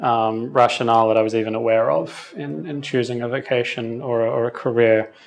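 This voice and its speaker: With an Australian accent, a man of medium pitch talks at a moderate pace. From western Sydney, Australia. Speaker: podcast host. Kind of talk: interview about own life, reflective conversation.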